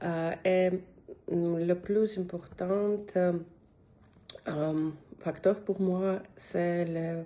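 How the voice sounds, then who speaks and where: A woman with a non-native accent speaks at a very slow pace, her fairly low, dark, mellow voice flat and monotone, broken by long, frequent pauses. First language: not French (speaking French). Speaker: language learner. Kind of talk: testimonial. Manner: halting, many hesitations.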